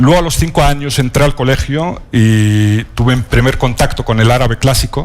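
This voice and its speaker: A man with a medium pitch talks at a fairly slow pace with ordinary pitch variation. Noticeable background noise sits behind him. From northern Morocco (Alhucemas, Rif). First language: Riffian Berber (Amazigh) (speaking Spanish). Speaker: novelist. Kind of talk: panel talk at a literary event. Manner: halting, many fillers.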